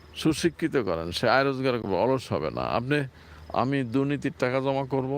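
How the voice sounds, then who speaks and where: A man talks at a medium pitch with ordinary pitch variation and very even loudness. It is an ordinary speaking voice. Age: 60s. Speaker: Islamic preacher, vlogger. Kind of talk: informal religious talk, walking vlog. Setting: outdoors, apartment grounds.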